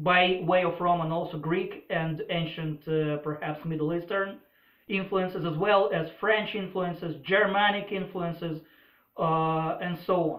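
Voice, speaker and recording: A man with a Russian accent speaks at a fairly slow pace in a high pitch, his intonation fairly even. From former Soviet Union. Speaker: political commentator. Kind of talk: opinion monologue. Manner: hesitant, many filler uhs.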